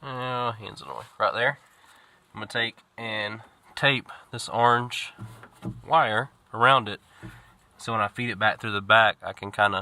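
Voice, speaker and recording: A man speaks in a Southern US accent with fairly even intonation. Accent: Southern US (Georgia). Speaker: homesteader and DIY mechanic. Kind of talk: casual DIY tutorial vlog. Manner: casual, hesitant.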